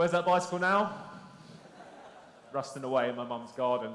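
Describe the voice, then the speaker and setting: Speaking at a fairly quick pace with lively intonation, a man with a London accent and a fairly high pitch is heard amid audible room echo. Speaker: conference speaker, SEO business. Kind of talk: conference presentation. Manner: conversational, interactive.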